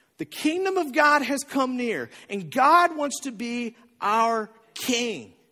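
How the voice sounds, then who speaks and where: Pitched extremely high, a man projects a raised voice with a bright, sharp tone. His intonation is lively and his pace very slow. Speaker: pastor. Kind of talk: sermon. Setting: church. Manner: conversational.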